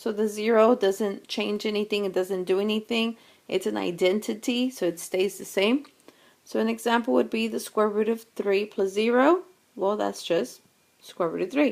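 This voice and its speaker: This woman has a normal speaking voice at a medium pitch. She talks at a moderate pace. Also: ordinary pitch variation. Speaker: math teacher. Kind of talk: lecture.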